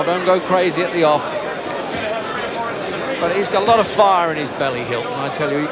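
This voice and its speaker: A man at a moderate pace, ordinary pitch variation, crowd noise in the background. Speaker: boxing commentator. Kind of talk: commentary.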